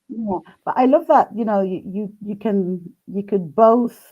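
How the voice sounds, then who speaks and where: Speaking at a fairly slow pace with a non-native accent, a woman has a medium pitch and a dark, mellow tone. Her pitch varies normally over a quiet background. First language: not English. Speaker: live stream host interviewing a tarot deck creator. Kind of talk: casual live-stream interview. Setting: live video stream. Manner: halting, many fillers and restarts.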